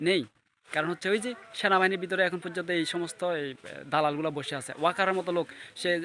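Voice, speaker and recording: Pitched high, a man's voice keeps its intonation fairly even. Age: 20s. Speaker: political commentator. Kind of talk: political monologue.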